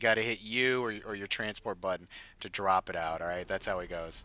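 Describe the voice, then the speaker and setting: A man with an ordinary speaking voice talks at a fairly quick pace, his fairly low pitch showing ordinary pitch variation. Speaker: game mod developer. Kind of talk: gameplay tutorial walkthrough. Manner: casual, filler-heavy.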